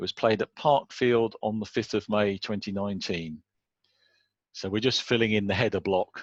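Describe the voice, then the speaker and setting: A man speaks in an unremarkable speaking voice at a fairly low pitch. His intonation is fairly even, and the sound is dry and close with no echo. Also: moderate pace, quiet background. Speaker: cricket scoring tutor. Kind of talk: tutorial.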